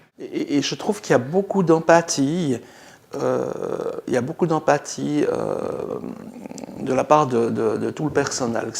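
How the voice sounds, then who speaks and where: At a very slow pace, a man talks over noticeable background noise. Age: 60s. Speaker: dental patient. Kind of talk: testimony. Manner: halting.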